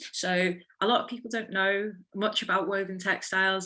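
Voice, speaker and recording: With a Liverpool accent, a woman speaks at a moderate pace and medium pitch in a bright, sharp tone. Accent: Liverpool (Scouse). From Liverpool, England. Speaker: textile designer and weaver. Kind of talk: online careers talk. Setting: video call.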